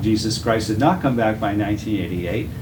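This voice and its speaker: A man speaks at a fairly low pitch with a Boston accent. Noticeable background noise and audible room echo come through. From Massachusetts, Boston area. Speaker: Bible teacher. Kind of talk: testimony.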